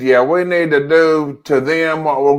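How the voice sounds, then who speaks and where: Speaking with a Southern US accent, a man keeps his intonation fairly even. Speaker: podcast co-host. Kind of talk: casual chat.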